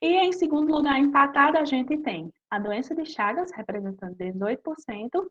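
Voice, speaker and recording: A high-pitched woman speaks at a moderate pace. Her intonation is lively. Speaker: master's student researcher in medicinal chemistry. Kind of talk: lecture.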